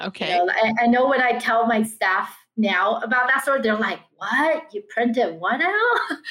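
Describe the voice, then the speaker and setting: The intonation is lively, and the speech runs with hardly any pauses. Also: woman, high pitch for a woman, fairly slow pace. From Taiwan. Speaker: business owner. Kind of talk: interview. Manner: animated.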